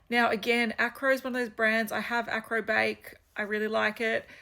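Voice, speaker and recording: On a very clean recording with a silent background, a woman with an Australian accent speaks at a moderate pace in a fairly high pitch and monotone, flat intonation. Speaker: fragrance reviewer. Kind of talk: casual product review vlog. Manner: casual, hesitant with fillers.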